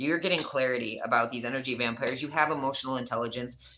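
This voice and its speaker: A woman with an American accent talks at a fairly quick pace in a bright, sharp tone with a very deep, low pitch. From New York. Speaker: tarot reader. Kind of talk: tarot reading. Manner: casual, conversational.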